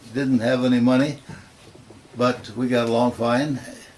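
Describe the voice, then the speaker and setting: Against noticeable background noise, a man with an American accent speaks at a medium pitch in a monotone, flat intonation. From US Midwest, rural Nebraska. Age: 80s+. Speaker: retired professor. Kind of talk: oral history interview. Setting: at home. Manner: halting, with frequent fillers.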